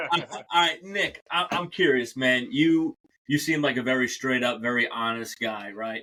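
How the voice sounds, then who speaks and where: A man talks at a moderate pace in a New York accent. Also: medium pitch for a man, ordinary pitch variation. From New York City, Staten Island. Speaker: podcast host. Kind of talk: casual podcast interview. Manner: casual, animated.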